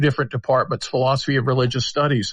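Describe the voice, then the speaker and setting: A man is speaking. His voice is somewhat breathy. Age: 60s. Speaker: public philosopher. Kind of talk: podcast interview. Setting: live audio chat app.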